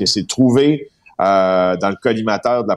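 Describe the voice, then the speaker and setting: Dry and close with no echo, the voice is a normal speaking voice at a moderate pace with ordinary pitch variation. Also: man. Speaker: investigative journalist. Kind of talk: radio column chat.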